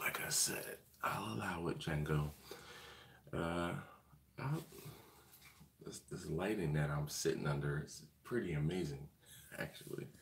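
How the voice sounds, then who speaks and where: A man talks quietly with a very deep, low pitch and lively intonation. His moderate pace is heard against audible room echo. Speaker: BBQ channel host. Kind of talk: live stream chat. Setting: hotel hallway. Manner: quiet, keeping voice down.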